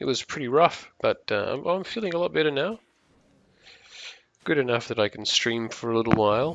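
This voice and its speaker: A man speaks with a New Zealand accent. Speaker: gaming streamer. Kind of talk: live gameplay stream chat. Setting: live stream. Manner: halting, many fillers.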